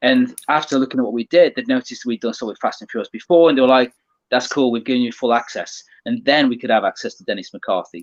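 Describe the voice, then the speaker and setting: A man speaks with a British accent at a very fast pace. The sound is dry and close, with no echo. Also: big swings in loudness. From England. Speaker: automotive media creator. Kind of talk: casual interview chat.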